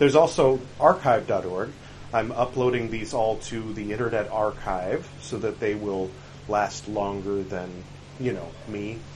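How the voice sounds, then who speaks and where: Against noticeable background noise, a man talks at a fairly slow pace with a fairly low pitch and ordinary pitch variation. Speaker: podcast host reciting Buddhist scriptures. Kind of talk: reading aloud of scripture with commentary. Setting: outdoors on a balcony. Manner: louder and clearer articulation.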